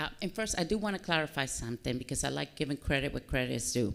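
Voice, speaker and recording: On a very clean recording with a silent background, a woman talks at a very fast pace with hardly any pauses, very wide pitch swings and vocal fry. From Dominican Republic, then Massachusetts from age nine. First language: Spanish. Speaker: army helicopter pilot, military officer. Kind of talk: interview at a public fireside chat.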